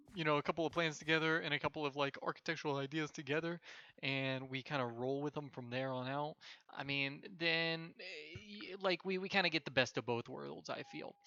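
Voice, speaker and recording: A man mumbles at a fairly quick pace, his voice fairly high-pitched with a bright, sharp tone. The sound is dry and close, with no echo. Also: ordinary pitch variation. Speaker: gaming channel host. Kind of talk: gameplay commentary. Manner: mumbling; halting, many fillers.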